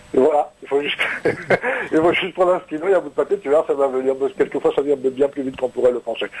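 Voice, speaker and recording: A man with a fairly high voice speaks at a very fast pace against noticeable background noise. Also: ordinary pitch variation. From Normandy. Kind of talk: casual chat. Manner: halting, many repetitions.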